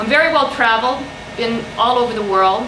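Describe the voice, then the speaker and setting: Through audible room echo and noticeable background noise, a woman with a US border accent speaks at a fairly high pitch with ordinary pitch variation. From US, Mexican-American border. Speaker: university lecturer. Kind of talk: lecture. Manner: halting, many fillers and repeats.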